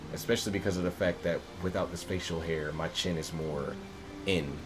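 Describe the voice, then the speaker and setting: Over noticeable background noise, a man speaks with a very deep, low pitch and fairly even intonation. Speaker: video game streamer. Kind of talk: casual gameplay livestream commentary.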